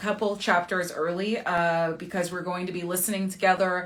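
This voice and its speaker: A woman speaks with an American accent at a medium pitch. Hers is an ordinary speaking voice at a moderate pace. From New Jersey, US. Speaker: romance author and livestream host. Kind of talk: casual chat. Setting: live stream.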